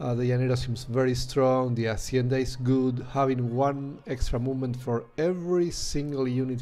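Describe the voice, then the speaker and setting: Talking at a moderate pace with a medium pitch and fairly even intonation, a man is heard over noticeable background noise and audible room echo. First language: Spanish. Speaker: video game streamer. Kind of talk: gameplay commentary. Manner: hesitant, many fillers.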